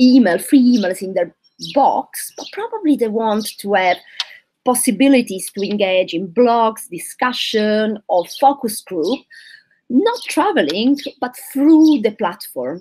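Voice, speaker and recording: Using an Italian accent, a woman with a fairly high pitch speaks at a very slow pace with lively intonation. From southern Italy. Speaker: physician, candidate for society president. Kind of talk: live Q&A.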